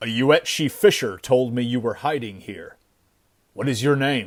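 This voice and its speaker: Putting on a growling character voice, a man speaks at a medium pitch and a moderate pace on a very clean recording with a silent background. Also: ordinary pitch variation. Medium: read story. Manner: calm, blunt.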